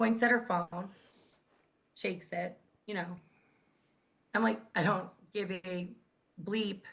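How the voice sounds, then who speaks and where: With a loud voice and a bright, sharp tone, a woman speaks at a medium pitch and a fairly slow pace, using ordinary pitch variation and long, frequent pauses. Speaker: grassroots activist. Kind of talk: casual chat.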